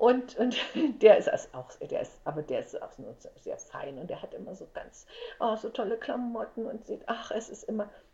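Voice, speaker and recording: Noticeable noise runs in the background while a woman speaks at a moderate rate. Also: big swings in loudness. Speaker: entertainer and actress. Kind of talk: casual interview chat.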